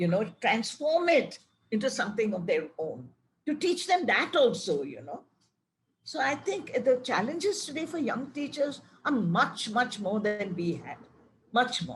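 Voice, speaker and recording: Pitch swings very widely as the words come at a fairly slow pace. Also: woman, high pitch for a woman. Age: 80s+. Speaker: retired English professor. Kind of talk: Q&A in online talk.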